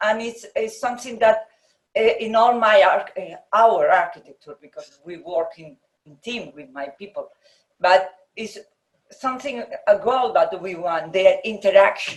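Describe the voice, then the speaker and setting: A woman with a Spanish accent speaks at a fairly slow pace in a fairly high voice. Her intonation is lively and her loudness swings widely. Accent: Spanish accent, non-native English. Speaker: architect. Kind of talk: interview conversation. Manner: halting, hesitant.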